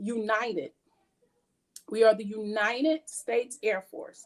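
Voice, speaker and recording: With an American accent, a woman talks at a fairly slow pace in a normal speaking voice, fairly high in pitch, with ordinary pitch variation. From Georgia, US South. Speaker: military presenter. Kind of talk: workshop talk.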